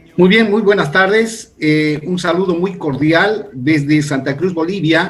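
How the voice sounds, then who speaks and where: A man talks at a fairly slow pace in a high pitch for a man. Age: 60s. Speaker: pastor. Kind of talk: interview.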